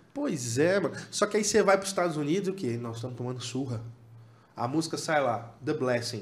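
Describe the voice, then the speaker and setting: A man speaks at a moderate pace with lively intonation. Audible room echo surrounds his voice. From Tocantins, Brazil (Palmas). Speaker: worship musician. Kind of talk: casual chat.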